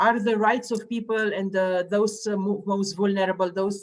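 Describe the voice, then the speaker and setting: A woman speaks with a Romanian accent at medium pitch. Her pace is moderate and her intonation fairly even. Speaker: public health official and interviewer. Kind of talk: live online interview. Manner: halting, many fillers.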